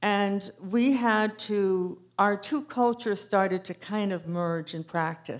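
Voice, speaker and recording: Here a woman with an American accent speaks at medium pitch and a very slow pace, with hardly any pauses and ordinary pitch variation. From Cape Cod, Massachusetts. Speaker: author and speaker. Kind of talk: public talk with Q&A. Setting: museum talk with audience. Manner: casual, with many fillers.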